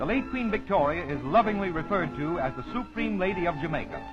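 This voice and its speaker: With music in the background, a man talks at a fairly quick pace and with lively intonation. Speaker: travelogue reporter. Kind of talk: vintage travelogue narration.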